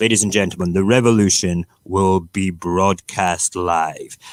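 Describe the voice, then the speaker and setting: In a dry, close recording with no echo, a man with a very deep, low pitch talks at a fairly slow pace. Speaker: live-stream radio host. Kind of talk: casual morning chat show rant. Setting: live stream. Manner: animated.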